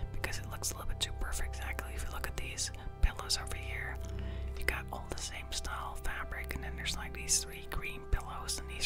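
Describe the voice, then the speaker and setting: Whispering over clear music in the background. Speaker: ASMR house tour commentator. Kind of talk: ASMR house tour commentary. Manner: whispered.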